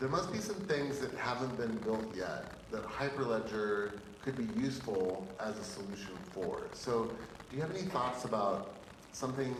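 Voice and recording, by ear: With audible room echo, a man talks at a moderate pace using ordinary pitch variation.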